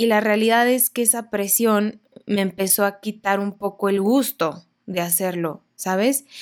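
The woman has a normal speaking voice and a medium pitch. She talks fairly slowly. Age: 20s. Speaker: podcast host. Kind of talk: personal monologue. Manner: casual, conversational.

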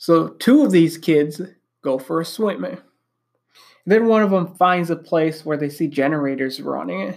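Recorded very cleanly with a silent background, a man with an Upper Midwest accent talks at a fairly slow pace and fairly high pitch, with ordinary pitch variation and long, frequent pauses. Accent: Upper Midwest American. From Wisconsin. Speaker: podcast host. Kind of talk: solo monologue.

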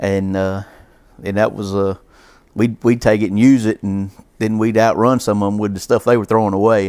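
Speaking in a Southern US accent, a man talks at a fairly quick pace with fairly low pitch and fairly even intonation on a very clean recording with a silent background. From US South, Georgia-Alabama line. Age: 40s. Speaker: racing fan and amateur driver. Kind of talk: casual chat.

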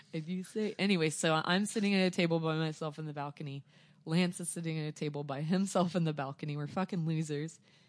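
Against a quiet background, a woman with an American accent talks at a very fast pace in a very deep, low pitch. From Joplin, southwest Missouri. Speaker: record store owner. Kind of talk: casual chat. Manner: animated.

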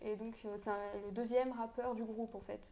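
A woman speaks in a fairly high voice. Her intonation is flat and monotone. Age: 20s. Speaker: law student, podcast co-host. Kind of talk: casual chat.

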